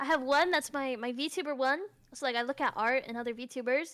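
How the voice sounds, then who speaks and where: In a high, bright and sharp voice, a woman speaks raised and projected. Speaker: vtuber. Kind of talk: casual chat. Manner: animated.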